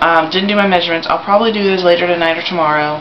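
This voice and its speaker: A man's high-pitched voice comes through audible room echo and noticeable background noise. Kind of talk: video diary. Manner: hesitant, many fillers.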